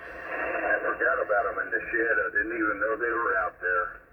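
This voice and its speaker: There is noticeable noise behind the recording. A man does the talking. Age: 70s. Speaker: amateur radio operator. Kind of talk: ham radio contact, casual chat. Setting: radio transmission. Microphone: old dynamic mic on homebuilt transmitter.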